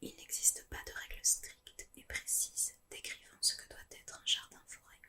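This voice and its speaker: Someone whispers at a fairly slow pace. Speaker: ASMR channel host. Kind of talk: whispered reading aloud of an informative text on permaculture. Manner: whispered, soft-spoken.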